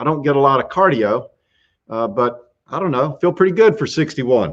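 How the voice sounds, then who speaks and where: A man with a Southern US accent talks at a moderate pace, his fairly high voice carrying lively intonation. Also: quiet background. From US South, South Carolina. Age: 60s. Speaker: YouTube show host, workamper. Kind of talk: live stream casual chat, answering questions. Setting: live stream from RV campground.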